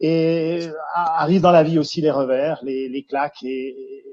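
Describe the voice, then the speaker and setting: Dark and mellow in tone, this voice carries a Jura accent and fairly even intonation. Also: man. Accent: Swiss French (Jura). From Switzerland, Jura region. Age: 50s. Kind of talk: interview. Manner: hesitant, many fillers and repetitions.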